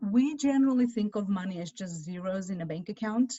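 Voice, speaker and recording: A somewhat breathy woman's voice at medium pitch. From Armenia. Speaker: financial advisor. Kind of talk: presentation. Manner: halting.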